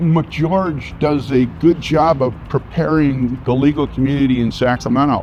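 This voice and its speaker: Over music in the background, a man talks at a fairly slow pace with a medium pitch and ordinary pitch variation. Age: 70s. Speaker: lawyer. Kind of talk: interview testimonial. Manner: casual with hesitations.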